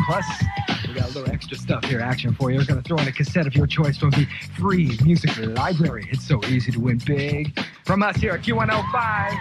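Loud background noise surrounds a man talking at a fairly quick pace, with dry sound and no echo. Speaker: radio DJ. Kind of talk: radio DJ aircheck, upbeat promos and on-air banter. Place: booth. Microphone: old recording.

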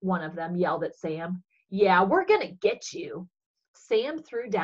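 The clip carries an unforced reading voice over a quiet background.

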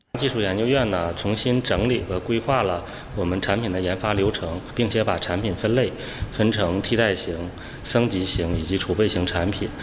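A man of fairly low pitch and ordinary pitch variation, with noticeable background noise. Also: moderate pace. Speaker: steel research institute staff. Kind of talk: interview soundbite. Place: office.

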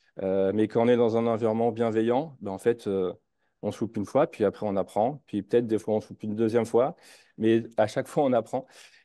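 This man has a dark, mellow tone and fairly even intonation. The sound is dry with no echo over a quiet background. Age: 30s. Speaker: engineer and startup CTO; interview guest. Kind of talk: casual interview conversation. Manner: halting, many hesitations. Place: home room. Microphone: headset.

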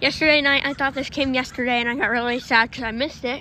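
Raised and projected, a woman's voice has a bright, sharp tone and fairly even intonation, with a dry sound lacking echo over light background noise. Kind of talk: casual vlog chat. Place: open country. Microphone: phone near.

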